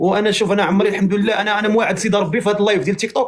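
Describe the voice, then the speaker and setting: The voice is a man's, pitched high. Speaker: TikTok live host. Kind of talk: live stream chat. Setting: TikTok live.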